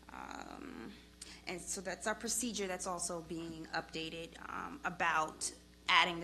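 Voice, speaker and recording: The speaker has a Long Island accent. Intonation stays fairly even. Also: woman. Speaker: police department official. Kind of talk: public hearing testimony. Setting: public committee hearing.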